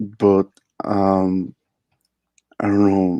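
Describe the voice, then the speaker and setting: A man's fairly low, dark, mellow voice in a Spanish accent, very slow and monotone with flat intonation, on a dry, close recording with no echo. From Mexico, Veracruz. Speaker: caller. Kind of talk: personal conversation. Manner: halting.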